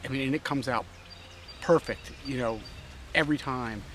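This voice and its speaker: Noticeable background noise sits behind a man speaking at medium pitch. He keeps a moderate pace and fairly even intonation. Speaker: backpacking vlogger. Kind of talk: outdoor vlog narration. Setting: outdoors on a trail. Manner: speaking quietly; casual with many fillers.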